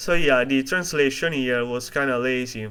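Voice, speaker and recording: Fairly high for a man, this Italian-accented voice has a bright, sharp tone and moves at a fairly slow pace. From Italy. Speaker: video essayist. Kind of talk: video essay narration.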